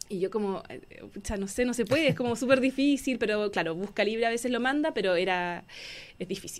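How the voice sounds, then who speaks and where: Her pitch is fairly high, with ordinary variation. The woman speaks at a fairly quick pace. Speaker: book author and illustrator. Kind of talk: radio interview. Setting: radio studio.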